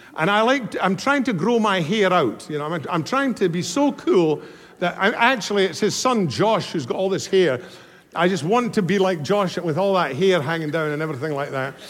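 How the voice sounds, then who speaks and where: The delivery is animated, with lively intonation at a moderate pace. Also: man, high pitch for a man. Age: 70s. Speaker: guest preacher. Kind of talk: sermon. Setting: stage with audience.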